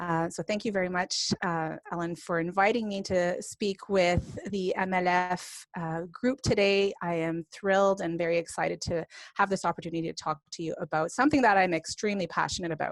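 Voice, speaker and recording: In a Franco-Ontarian accent, a woman with a medium pitch and ordinary pitch variation talks at a fairly quick pace with hardly any pauses, recorded very cleanly against a silent background with a dry, close sound and no echo. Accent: Franco-Ontarian Canadian. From northern Ontario, Canada (francophone). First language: French. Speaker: professor and speech-language pathologist. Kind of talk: lecture.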